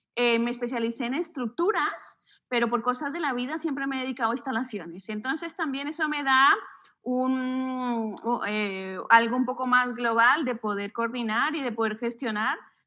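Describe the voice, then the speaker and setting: A woman with a high-pitched voice talks fairly slowly, her pitch varying in an ordinary way. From Colombia, Bogotá. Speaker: architect and university lecturer. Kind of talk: podcast interview.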